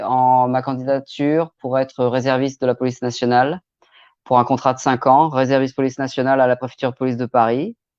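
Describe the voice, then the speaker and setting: A man speaks in a monotone, flat way, the sound dry and close with no echo over a quiet background. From Normandy, France. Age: 40s. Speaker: crime novelist. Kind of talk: live stream self-presentation. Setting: online live stream. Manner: hesitant, many filler sounds.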